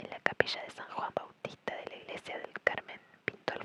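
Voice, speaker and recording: A whispering woman at a moderate pace, with noticeable background noise. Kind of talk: ASMR art history reading. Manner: whispered.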